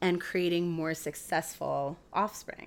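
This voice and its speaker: Her voice is fairly low in pitch, and her intonation fairly even. The woman speaks at a very slow pace. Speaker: podcast co-host. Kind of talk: casual comedic chat about animal facts. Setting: home recording.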